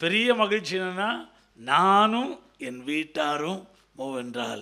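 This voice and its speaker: A man's bright, sharp tone with lively intonation. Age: 70s. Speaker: visiting pastor. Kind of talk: sermon with interpreter.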